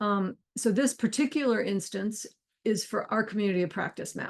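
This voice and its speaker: Over a quiet background, a woman speaks at a fairly quick pace. Her pitch is fairly high, with ordinary variation. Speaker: co-founder and workshop host. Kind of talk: online workshop demo. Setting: video call with screen share. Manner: fast.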